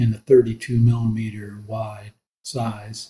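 Somewhat breathy, the man's voice has a dark, mellow tone at medium pitch. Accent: American. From US, Colorado. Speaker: listener asking a question. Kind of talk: recorded listener question.

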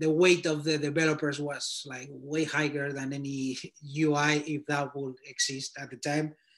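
A man with a Spanish accent and a fairly high pitch speaks at a fairly slow pace against a quiet background. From Spain. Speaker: designer reviewing portfolios. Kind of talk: portfolio critique and career advice. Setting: video call. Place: home room. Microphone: video call.

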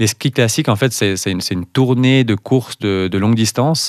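A man talks at a fairly quick pace with ordinary pitch variation. The sound is dry with no echo, and the background is quiet. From Valais, Switzerland; Switzerland. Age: 30s. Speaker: cross-country skier; guest. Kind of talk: interview. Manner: halting, repeats words. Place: studio. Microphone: studio mic.

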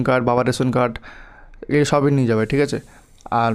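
Flat and monotone, a man talks at a medium pitch. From West Bengal, Malda. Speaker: YouTuber giving exam advice. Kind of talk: tutorial. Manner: informal, addresses viewers directly.

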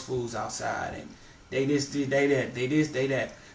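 A man speaks at medium pitch. Audible room echo and light background noise are present. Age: 20s. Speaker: sneaker collector. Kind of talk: casual interview. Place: home room. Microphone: camera far.

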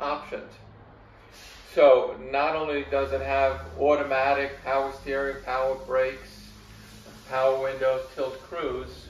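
A man speaks at a fairly slow pace with audible room echo. Light background noise sits behind him. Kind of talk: interview answer. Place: garage.

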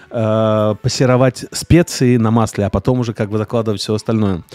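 A man's medium-pitched voice with a dark, mellow tone, at a moderate pace, in a dry, close sound with no echo. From Siberia, Russia. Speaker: chef. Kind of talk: casual chat. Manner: halting.

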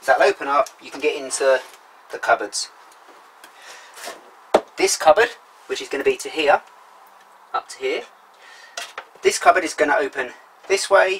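A man speaks at a moderate pace with long, frequent pauses and big swings in loudness. Light background noise is audible. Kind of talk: tutorial. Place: car. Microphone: camera far.

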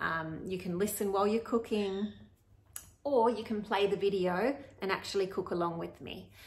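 Speaking at a fairly quick pace, a woman uses ordinary pitch variation. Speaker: podcast host. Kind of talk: casual podcast intro to camera. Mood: warm and friendly. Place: kitchen. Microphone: phone near.

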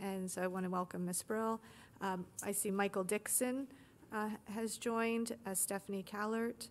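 Her intonation stays fairly even. The woman speaks at a moderate pace. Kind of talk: meeting introductions. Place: meeting room.

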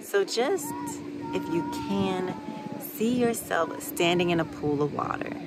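Loud background noise sits behind a woman talking at a fairly slow pace. She leaves long, frequent pauses, and the sound is dry with no echo. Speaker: meditation guide. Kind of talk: guided meditation. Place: waterside. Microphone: phone near.

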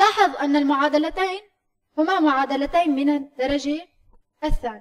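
Against a quiet background, a woman speaks at a fairly slow pace in a high pitch. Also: ordinary pitch variation. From Syria. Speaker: math teacher. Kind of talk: lecture. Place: meeting room.

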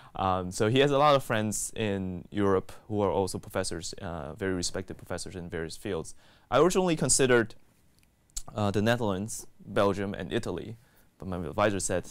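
A man with an American accent at a fairly quick pace, with ordinary pitch variation and big swings in loudness. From Taiwan and Texas. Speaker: graduate student researcher. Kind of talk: interview testimony. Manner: hesitant with fillers. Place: studio. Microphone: lapel.

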